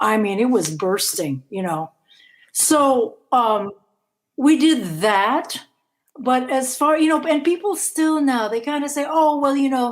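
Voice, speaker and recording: Speaking at a fairly slow pace, a woman uses an animated tone and a high voice with very wide pitch swings. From Philippines, Manila. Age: 70s. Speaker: rock guitarist and singer. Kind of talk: interview.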